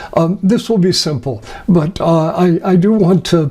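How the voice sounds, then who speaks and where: This is a man speaking. His pitch is high. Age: 70s. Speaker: astrologer. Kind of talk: lecture. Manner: halting.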